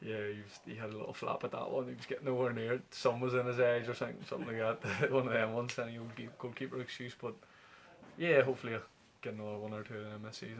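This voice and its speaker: In a Northern Irish accent, the speaker talks at a very fast pace with fairly even intonation and big swings in loudness. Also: man, medium pitch for a man. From Belfast, Northern Ireland. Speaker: professional footballer. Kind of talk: interview answer. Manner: affable, relaxed.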